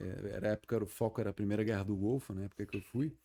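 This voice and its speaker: A man's dark, mellow tone at a very fast pace, with fairly even intonation and a very clean recording over a silent background. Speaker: retired army colonel. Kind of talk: podcast interview. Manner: repeats filler 'né'.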